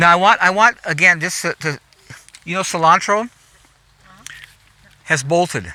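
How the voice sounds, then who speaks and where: Speaking at a moderate pace with long, frequent pauses, a man with a high pitch and an American accent sounds animated, with ordinary pitch variation and a dry, close sound that has no echo. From US West Coast, Los Angeles. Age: 70s. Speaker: gardener. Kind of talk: guided garden tour. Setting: outdoors. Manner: halting, repeats words.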